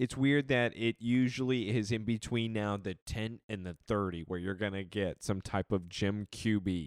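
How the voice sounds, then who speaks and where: A man with an unremarkable speaking voice and a fairly low pitch talks at a moderate pace with hardly any pauses and ordinary pitch variation. The recording is very clean, dry and close with no echo, and the background is silent. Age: 30s. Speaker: football podcast co-host. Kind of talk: casual chat.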